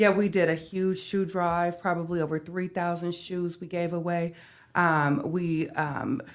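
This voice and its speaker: A woman with an American accent talks in an ordinary speaking voice at a fairly low pitch. Her pace is fairly slow and her intonation fairly even. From US Midwest (North Omaha, Nebraska). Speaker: home care business owner. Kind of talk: podcast interview.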